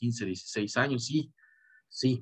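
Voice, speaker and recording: A medium-pitched man at a moderate pace, with fairly even intonation. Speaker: boxing commentator. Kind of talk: video commentary monologue. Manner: halting, many repetitions and fillers.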